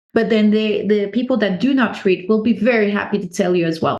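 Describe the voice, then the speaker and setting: A woman speaks with a French accent. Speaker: natural beekeeper. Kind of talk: podcast interview.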